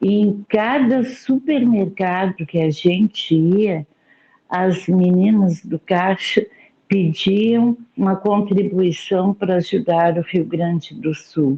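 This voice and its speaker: A somewhat breathy woman at a medium pitch, with ordinary pitch variation and a very slow pace. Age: 60s. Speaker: study group participant. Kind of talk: group discussion. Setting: video call.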